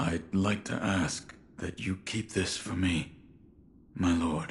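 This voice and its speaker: A man uses a put-on character voice with very deep, low pitch. He speaks at a fairly slow pace in a monotone, flat intonation. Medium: video game. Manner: terse, stoic.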